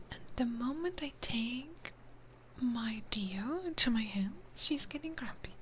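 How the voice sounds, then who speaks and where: Whispering at a fairly slow pace, a woman's voice swings widely in loudness against audible room echo. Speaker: ASMR streamer. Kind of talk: ASMR livestream chat. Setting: livestream with binaural mic.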